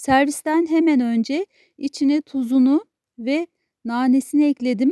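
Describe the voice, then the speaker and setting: A woman's high voice with a dark, mellow tone at a fairly slow pace. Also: ordinary pitch variation. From Turkey, Konya. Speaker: cooking channel host. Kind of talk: cooking tutorial.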